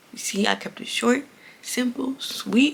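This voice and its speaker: Noticeable background noise sits behind a woman's voice. She has an animated tone and talks at a fairly slow pace. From Haitian heritage. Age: 20s. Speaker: podcast host. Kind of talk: casual chat.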